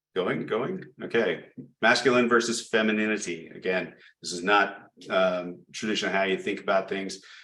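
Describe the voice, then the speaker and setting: The voice has a bright, sharp tone and fairly even intonation, with audible room echo. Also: man, fairly low pitch for a man. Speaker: project management presenter. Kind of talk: presentation lecture. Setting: chapter meeting. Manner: fast.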